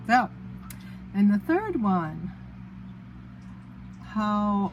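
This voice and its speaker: Over noticeable background noise, a woman with a medium-pitched voice speaks at a very slow pace. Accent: New England. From Massachusetts, US. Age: middle-aged. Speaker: teacher and vlogger. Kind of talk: casual vlog storytelling.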